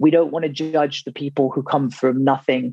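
A man with an English accent speaks at a fairly high pitch with fairly even intonation, in a dry, close sound with no echo. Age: 30s. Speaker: author. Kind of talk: interview.

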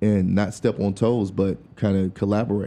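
In an American accent, a man speaks at a moderate pace with a fairly low pitch, a dark, mellow tone and fairly even intonation. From US South, rural North Carolina (Durham County). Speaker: singer and music producer. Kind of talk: casual interview chat. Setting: studio.

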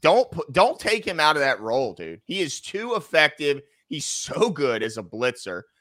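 Vocal fry runs through a bright, sharp tone that moves at a moderate pace with very wide pitch swings. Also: man, fairly high pitch for a man. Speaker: sports talk show co-host. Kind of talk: heated debate. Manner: angry, loud, ranting.

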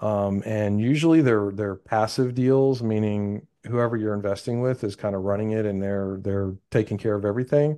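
In an ordinary speaking voice, a man with an American accent and a fairly low pitch talks at a moderate pace with fairly even intonation and hardly any pauses, against a quiet background. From Texas. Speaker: real estate investor. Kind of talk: interview.

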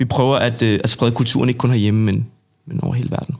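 Here a man speaks with an unremarkable speaking voice at a medium pitch. His intonation stays fairly even. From Denmark, North Zealand. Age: 20s. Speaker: street sports association chairman. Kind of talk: casual interview. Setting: studio.

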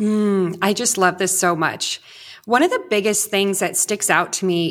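A woman with a Californian accent speaks at a fairly slow pace and a medium pitch. The recording is very clean, with a silent background. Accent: Californian American English. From US West Coast, Orange County, California. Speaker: parenting coach. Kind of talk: interview conversation.

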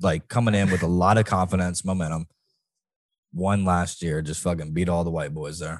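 Intonation stays fairly even as a man speaks at a very deep, low pitch. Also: moderate pace, quiet background. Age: 20s. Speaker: podcast co-host. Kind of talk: casual chat.

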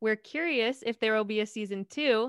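Here a woman speaks in a plain, everyday voice at a fairly high pitch and a moderate pace. The sound is dry and close, with no echo. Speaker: podcast host. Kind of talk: interview intro and outro.

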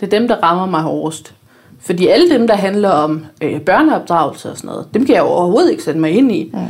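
In a normal speaking voice, a woman of medium pitch talks at a fairly quick pace with lively intonation. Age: 30s. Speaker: blogger. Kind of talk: casual chat.

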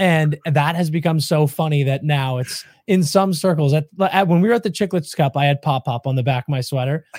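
A fairly high-pitched, somewhat breathy male voice at a fairly quick pace with hardly any pauses and ordinary pitch variation, dry and close with no echo, on a very clean recording with a silent background. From Maine. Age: 30s. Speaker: hockey podcast host. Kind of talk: casual interview.

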